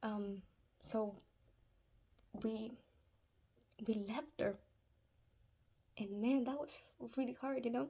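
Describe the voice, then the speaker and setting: Very slowly and with long, frequent pauses, a woman with a Spanish accent speaks in a dark, mellow, somewhat breathy tone, her fairly high pitch showing ordinary variation. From Spanish-speaking country, moved to US at eight. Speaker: Islamic advice vlogger. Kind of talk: casual religious advice talk. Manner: hesitant, many fillers.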